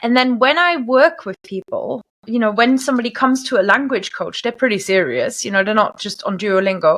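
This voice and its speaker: A woman speaks with a German accent at a fairly high pitch. Her pace is moderate and her pitch variation ordinary. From Germany. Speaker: language coach. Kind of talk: interview.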